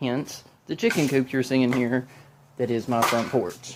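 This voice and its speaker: A man's medium-pitched voice with a Southern US accent, at a fairly slow pace. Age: 30s. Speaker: DIY video maker. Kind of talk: casual vlog. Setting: outdoors. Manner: stumbles over words.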